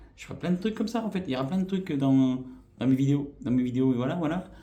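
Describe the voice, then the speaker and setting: A man's somewhat breathy voice with a dark, mellow tone, medium pitch, lively intonation and a fairly quick pace, plus audible room echo. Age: 40s. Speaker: YouTuber. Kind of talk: vlog channel introduction. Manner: hesitant, many fillers.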